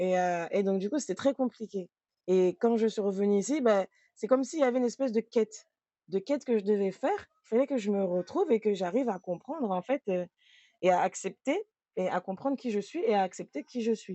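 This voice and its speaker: Here a woman speaks at a fairly quick pace. Her pitch is fairly high and her intonation lively. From France and Mayotte. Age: 30s. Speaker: trainer. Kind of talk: testimony. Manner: casual, hesitant with fillers.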